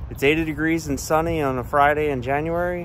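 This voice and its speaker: At a moderate pace, a man talks with ordinary pitch variation over light background noise, the sound dry with no echo. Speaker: local vlogger. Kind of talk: casual vlog chat. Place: street. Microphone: phone near.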